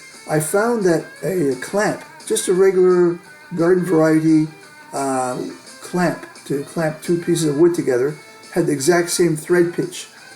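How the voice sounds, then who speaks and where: Over background music, a man with a high-pitched voice speaks fairly slowly in a fairly even intonation. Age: 60s. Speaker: hobbyist video creator. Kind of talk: tutorial. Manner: casual, hesitant with fillers.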